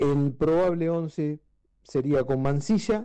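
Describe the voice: A man with a fairly high pitch talks at a fairly slow pace, his tone clear and smooth yet dark and mellow, with ordinary pitch variation.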